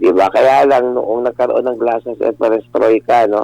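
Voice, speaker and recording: Noticeable background noise surrounds a man. The sound is dry and close, with no echo. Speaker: lawyer and political analyst. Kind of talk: radio interview.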